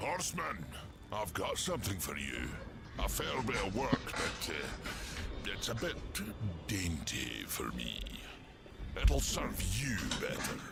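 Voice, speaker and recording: Through loud background noise, a man uses a put-on character voice at a fairly slow pace. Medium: game stream. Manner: gruff, wry.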